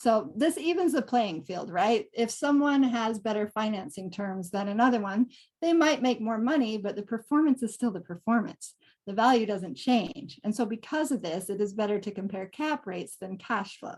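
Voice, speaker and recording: A somewhat breathy woman with a fairly high pitch and lively intonation. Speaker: real estate investor. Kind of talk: webinar presentation. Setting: online webinar. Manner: fast.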